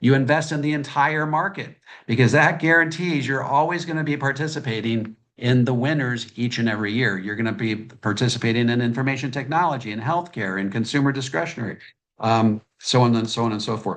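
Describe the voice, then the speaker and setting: Ordinary pitch variation marks a man's speech at a medium pitch. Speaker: financial author. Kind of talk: presentation. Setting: video call. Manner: fast.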